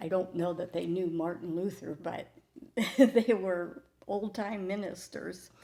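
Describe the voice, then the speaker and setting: At a fairly slow pace, a woman speaks in a dark, mellow tone at medium pitch. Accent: Midwestern US. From Ohio. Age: 80s+. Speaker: church member. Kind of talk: testimony.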